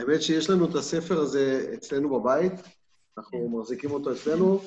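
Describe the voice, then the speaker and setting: The speaker has an Israeli accent and lively intonation. The pace is fairly quick. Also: man. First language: Hebrew. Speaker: audience member. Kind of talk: casual chat. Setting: video call. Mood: moved, warm. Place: home room. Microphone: video call.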